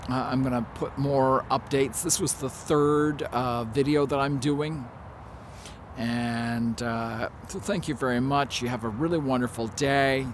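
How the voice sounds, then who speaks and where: Over noticeable background noise, a man talks at a fairly slow pace with fairly even intonation in a dry sound with no echo. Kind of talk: casual vlog chat. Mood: warm, friendly. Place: garden. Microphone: phone near.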